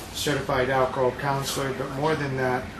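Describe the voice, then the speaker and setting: Over noticeable background noise and audible room echo, a man speaks at a moderate pace and medium pitch with monotone, flat intonation. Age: 70s. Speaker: DUI defense attorney. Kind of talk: testimonial interview.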